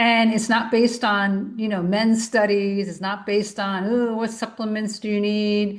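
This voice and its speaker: A woman talks at a moderate pace with hardly any pauses. Her fairly high voice stays monotone and flat. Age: 60s. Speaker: podcast host, naturopath. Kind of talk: solo podcast monologue. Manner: casual, conversational.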